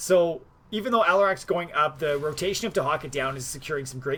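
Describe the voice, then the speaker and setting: This man's delivery comes very fast. His intonation stays lively throughout. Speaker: esports caster. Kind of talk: live commentary. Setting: live stream. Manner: talks fast when excited.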